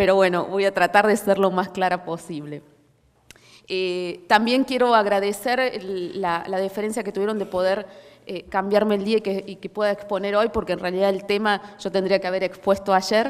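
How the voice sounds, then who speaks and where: A woman speaks with a Córdoba accent and fairly even intonation. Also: medium pitch for a woman, moderate pace. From Córdoba, Argentina. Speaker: policy researcher. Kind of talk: conference talk. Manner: hesitant, many fillers.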